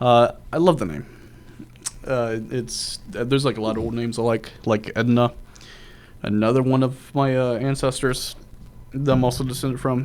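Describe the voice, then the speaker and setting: At a moderate pace, a man speaks in a medium pitch with ordinary pitch variation and long, frequent pauses. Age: young. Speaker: podcast host. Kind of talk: casual chat.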